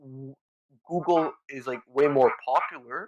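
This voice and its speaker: With ordinary pitch variation, a man speaks at a fairly high pitch. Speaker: tech podcast co-host. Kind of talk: casual conversational podcast discussion. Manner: halting, many fillers.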